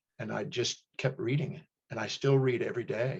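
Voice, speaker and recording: This is a man's voice. It carries vocal fry. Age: 60s. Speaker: human behavior specialist and teacher. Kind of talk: interview.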